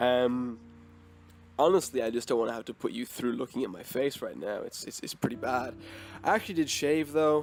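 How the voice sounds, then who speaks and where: A man's medium-pitched voice at a fairly quick pace, with ordinary pitch variation, big swings in loudness, and music in the background. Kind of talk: casual talk to camera.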